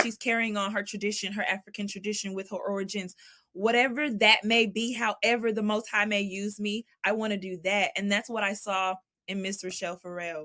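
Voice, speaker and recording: A bright, sharp tone at a fairly quick pace. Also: woman. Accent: Southern. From Texas (Dallas). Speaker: jazz vocalist. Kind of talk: interview conversation. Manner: animated.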